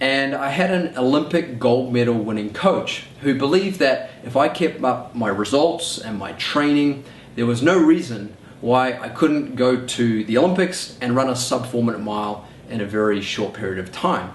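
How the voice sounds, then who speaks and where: Over noticeable background noise and audible room echo, a man with a New Zealand accent talks at a moderate pace in a medium-pitched voice with lively intonation. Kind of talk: personal story monologue.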